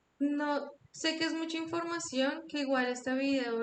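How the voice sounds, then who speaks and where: A woman's fairly even intonation comes at a fairly slow pace. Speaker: After Effects instructor. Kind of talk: online tutorial.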